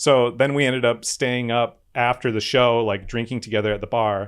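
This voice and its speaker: A man with a slight Midwestern accent talks at a fairly quick pace in a monotone, flat intonation. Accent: slight Midwest. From Wisconsin, Eau Claire. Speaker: podcaster. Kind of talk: casual chat.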